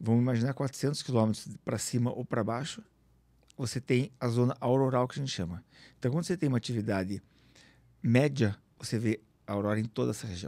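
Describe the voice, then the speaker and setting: With a dark, mellow tone, a man talks at a fairly quick pace, leaving long, frequent pauses and using ordinary pitch variation, the sound dry with no echo over a quiet background. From Curitiba, southern Brazil. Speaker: aurora tour guide and businessman. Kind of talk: casual chat. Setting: studio. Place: studio. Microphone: studio mic.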